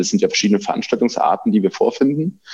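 A man at a very fast pace. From Thuringia, Weimar. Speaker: event manager. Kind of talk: interview. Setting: studio. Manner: hesitant, many filler sounds.

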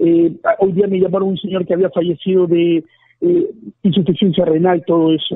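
Flat and monotone, a man speaks at a moderate pace in a high voice. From Ecuador. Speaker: journalist. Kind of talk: interview. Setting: phone call.

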